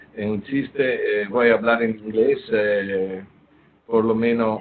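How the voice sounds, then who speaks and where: A speaker with an Italian accent. The delivery is very slow. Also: man. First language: Italian (speaking Spanish). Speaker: professor of surgery and endoscopist. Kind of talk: lecture. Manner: halting, many fillers.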